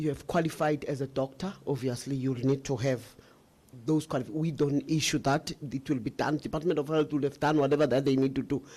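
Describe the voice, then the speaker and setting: In a monotone, flat delivery, a man with a fairly high pitch talks at a moderate pace against a quiet background. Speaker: government official. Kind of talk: testimony.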